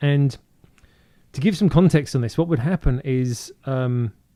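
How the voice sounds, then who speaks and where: In a British accent, the voice moves at a fairly slow pace with a dark, mellow tone and ordinary pitch variation. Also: man. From southern England (Woking, Surrey). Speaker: DJ. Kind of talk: casual interview. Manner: halting, many fillers.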